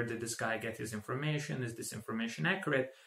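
A man with a Croatian accent and ordinary pitch variation, in audible room echo. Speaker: tech tutorial creator; tutorial creator. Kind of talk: tutorial; tutorial introduction. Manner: halting, with fillers. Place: home room.

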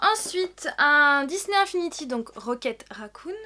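A woman speaks at a fairly slow pace in a high voice, her tone bright and sharp and her intonation lively.

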